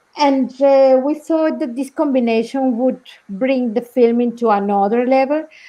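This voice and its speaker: A woman with a Spanish accent, high pitch, fairly even intonation and a moderate pace. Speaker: documentary film director. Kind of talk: live Q&A panel talk. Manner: halting, many repetitions.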